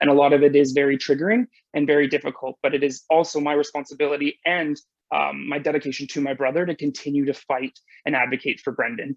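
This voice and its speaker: The speaker has a western Canadian accent. The pace is very fast. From British Columbia, Canada. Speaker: nurse, conference keynote speaker. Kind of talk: conference presentation.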